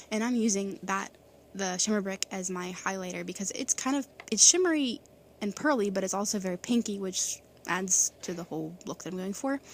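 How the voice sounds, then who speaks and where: Her speech runs fairly quick. This woman's voice sits at a medium pitch and varies in an ordinary way. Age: 20s. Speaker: beauty vlogger. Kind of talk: tutorial. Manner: fast.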